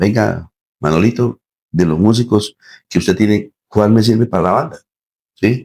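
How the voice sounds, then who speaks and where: A man speaks at a fairly low pitch with ordinary pitch variation. His pace is moderate. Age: 60s. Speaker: band musician and director. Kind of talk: interview.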